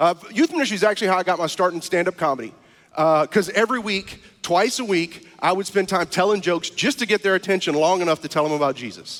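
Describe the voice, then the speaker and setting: An American-accented man speaks at a very fast pace. His pitch is high, and the sound is dry and close with no echo. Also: ordinary pitch variation. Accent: Cajun Louisiana. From US South, South Louisiana (Cajun). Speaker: stand-up comedian and guest preacher. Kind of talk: sermon.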